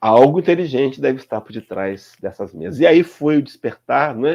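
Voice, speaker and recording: Vocal fry in a man's voice at a moderate pace. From Brazil. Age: 60s. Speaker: spiritist speaker. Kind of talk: lecture. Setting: live stream.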